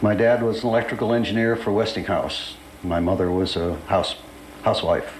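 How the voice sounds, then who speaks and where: With an American accent, a man talks at a fairly quick pace and medium pitch with fairly even intonation, amid audible room echo and noticeable background noise. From Pittsburgh, Pennsylvania, US. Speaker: retired fighter pilot. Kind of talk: oral history interview. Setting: recorded interview at an air show. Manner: hesitant, with frequent fillers.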